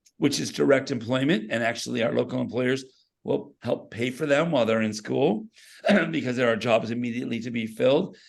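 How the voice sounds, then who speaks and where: A man with vocal fry speaks at a medium pitch and a fairly quick pace. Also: ordinary pitch variation. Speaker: school career pathways educator. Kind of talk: presentation at a meeting.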